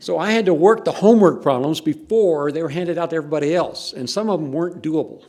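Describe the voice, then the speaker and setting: With a Texan accent and a dark, mellow tone, a man speaks at a very fast pace in a fairly high pitch with ordinary pitch variation. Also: hardly any pauses. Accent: Texan, noticeable. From Texas. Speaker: professor. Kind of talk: reminiscing talk at academic event.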